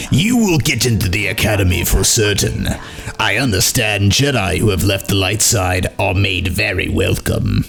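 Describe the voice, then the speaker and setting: A put-on character voice runs at a moderate pace over clear background noise. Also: man, fairly low pitch for a man. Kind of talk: smooth, welcoming. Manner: sinister, diabolical.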